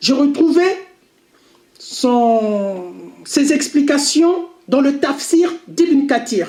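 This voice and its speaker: The speaker talks at a very slow pace with long, frequent pauses. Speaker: religious commentator. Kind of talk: lecture. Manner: halting.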